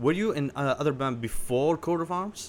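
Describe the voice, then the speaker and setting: A man with a normal speaking voice uses lively intonation at a moderate pace. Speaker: podcast host. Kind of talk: interview, casual chat.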